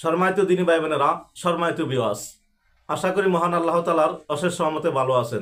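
Very even in loudness, a man's high-pitched voice shows ordinary pitch variation. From Bangladesh, Chandpur district. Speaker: former businessman appealing for donations. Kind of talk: personal appeal with religious greetings. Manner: formal.

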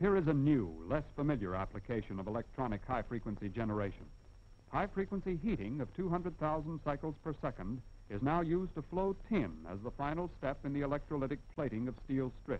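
A man talks at a fairly quick pace with very wide pitch swings. His tone is confident. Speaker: film narrator. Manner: formal, measured, brisk and declarative, with confident, even pacing; didactic, explaining step by step with emphasis on key points. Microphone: old recording.

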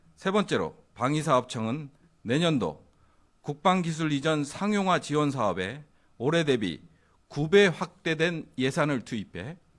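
A man with an unremarkable speaking voice and a fairly high pitch talks at a fairly slow pace with lively intonation, in a very clean recording with a silent background. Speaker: government spokesperson. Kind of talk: press briefing. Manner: formal.

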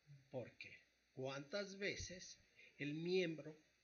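His voice, a man's, sits fairly high in pitch and carries lively intonation. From Mexico, Tlaxcala. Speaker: psychologist. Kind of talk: radio interview.

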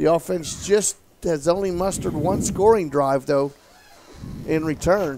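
Over noticeable background noise, a man with a fairly high voice and ordinary pitch variation speaks fairly slowly, with long, frequent pauses. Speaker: color analyst. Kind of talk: live sports commentary, analysis. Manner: conversational, measured, occasionally hesitant.

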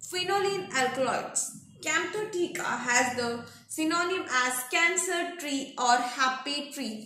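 A woman speaks in a raised, projected voice that is high and bright, with a sharp tone. Her pace is very slow and her intonation lively. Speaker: pharmacy exam tutor. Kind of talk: lecture. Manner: repetitive dictation pace.

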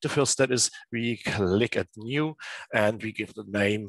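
Over a quiet background, a man with a German accent talks at a fairly slow pace with lively intonation. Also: dry sound with no echo. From Germany, Dresden; Germany. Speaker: teacher. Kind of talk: tutorial. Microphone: headset.

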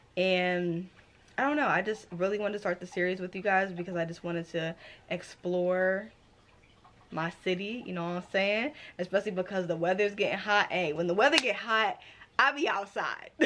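Here a woman talks at a moderate pace with ordinary pitch variation. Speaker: book vlogger. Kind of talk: casual vlog chat. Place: home room.

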